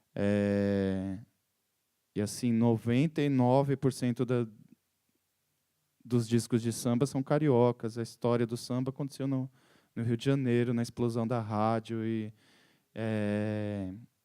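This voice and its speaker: The voice has a dark, mellow tone and fairly even intonation. It moves at a very slow pace with long, frequent pauses. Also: man, medium pitch for a man. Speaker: musician and composer. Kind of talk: talk to an audience. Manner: halting, with repetitions.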